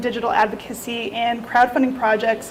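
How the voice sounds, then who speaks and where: Amid noticeable background noise, a woman talks with ordinary pitch variation. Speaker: researcher presenting a report. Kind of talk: presentation to a meetup audience. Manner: fast.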